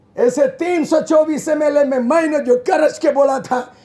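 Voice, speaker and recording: Extremely high in pitch, a man speaks with an animated tone. His delivery comes at a fairly slow pace. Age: 70s. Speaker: politician. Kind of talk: public speech. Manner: forceful, animated.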